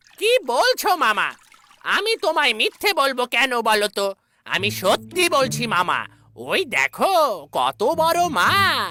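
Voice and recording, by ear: In a cartoonish character voice, a female-sounding speaker talks at a very slow pace with a fairly high pitch.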